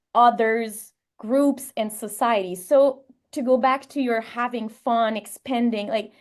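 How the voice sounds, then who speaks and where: With a French Canadian accent, a woman speaks at a fairly slow pace and fairly even intonation over a quiet background. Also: fairly high pitch for a woman. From Quebec, Canada. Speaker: sports psychologist and creativity researcher. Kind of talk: podcast interview.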